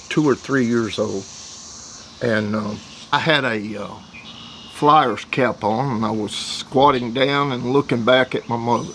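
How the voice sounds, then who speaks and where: A very slow-paced man with an American accent and ordinary pitch variation, over noticeable background noise. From US South, East Tennessee (Athens). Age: 70s. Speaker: war veteran. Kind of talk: testimony. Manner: halting, many fillers.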